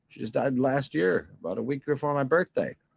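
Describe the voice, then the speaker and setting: A man speaks at a moderate pace and medium pitch. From New York and Baltimore. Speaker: livestream host. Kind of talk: casual chat. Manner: rambling, halting.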